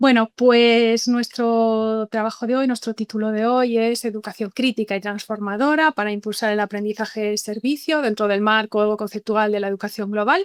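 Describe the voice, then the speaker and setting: In a Galician accent, a woman with a fairly high pitch speaks at a moderate pace with fairly even intonation, in a very clean recording with a silent background and a dry, close sound with no echo. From Galicia, Spain. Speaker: university professor, webinar speaker. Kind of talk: lecture. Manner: hesitant with repetitions.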